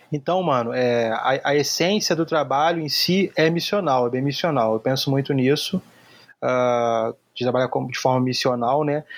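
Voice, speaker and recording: A man with an ordinary speaking voice talks at a fairly slow pace. His pitch is fairly high, with ordinary pitch variation. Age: 30s. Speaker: graphic designer. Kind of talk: casual interview.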